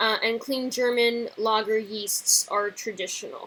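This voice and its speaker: Bright and sharp in tone, a woman with an American accent speaks at a very slow pace. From United States. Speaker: beer reviewer. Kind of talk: product review. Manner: hesitant, many fillers.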